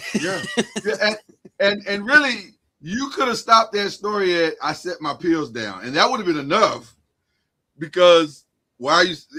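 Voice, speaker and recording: A man's high-pitched, raised, projected voice at a moderate pace, with lively intonation, big swings in loudness and long, frequent pauses. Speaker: podcast co-host. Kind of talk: casual chat.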